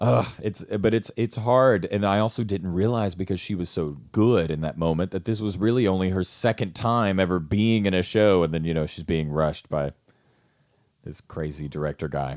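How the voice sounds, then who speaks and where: A man's very deep, low voice with a slight Southern US accent, animated in tone, at a moderate pace, ordinary pitch variation, very clean recording and silent background. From rural US South. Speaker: theater actor and acting teacher, podcast co-host. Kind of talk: casual chat.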